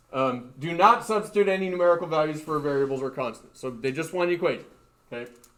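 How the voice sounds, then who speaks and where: A man with a fairly high pitch talks at a very fast pace with lively intonation, and audible room echo surrounds his voice. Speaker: high school physics teacher. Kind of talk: lecture.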